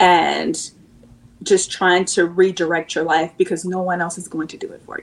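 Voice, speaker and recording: With an American accent, a woman talks at a moderate pace and medium pitch in an ordinary speaking voice. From US Pacific Northwest (Seattle, Washington). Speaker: channel partner manager and nonprofit founder. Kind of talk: casual interview chat.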